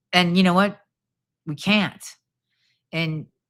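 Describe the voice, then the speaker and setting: The voice has a bright, sharp tone, an American accent and ordinary pitch variation. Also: woman, very clean recording, silent background. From Chicago, US Midwest. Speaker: political livestreamer and commentator. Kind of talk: live stream commentary reacting to chat. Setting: live stream at home. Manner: rambling, halting with many fillers.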